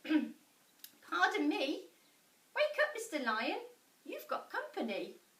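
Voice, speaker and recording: Using a put-on character voice, a woman speaks very slowly at an extremely high, squeaky pitch. Her pitch swings very widely. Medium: read story. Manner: timid, polite.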